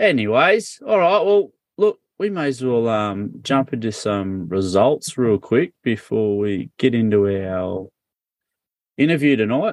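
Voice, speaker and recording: Recorded with a dry, close sound and no echo, a man with an Australian accent speaks at a medium pitch. His pace is fairly slow and his intonation lively. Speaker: podcast host. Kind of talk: casual chat.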